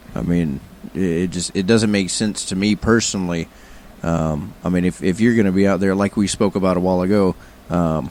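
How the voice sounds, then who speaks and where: This man has a very deep, low pitch. He talks at a moderate pace with fairly even intonation. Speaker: guest podcast host. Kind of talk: casual podcast conversation.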